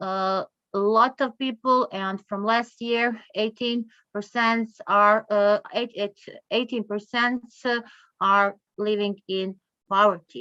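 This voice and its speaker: In a Croatian accent, a woman speaks very slowly at a fairly high pitch with a bright, sharp tone. Her intonation is fairly even, and the sound is dry and close with no echo. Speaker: conference speaker on poverty statistics. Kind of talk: conference presentation. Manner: halting, many fillers.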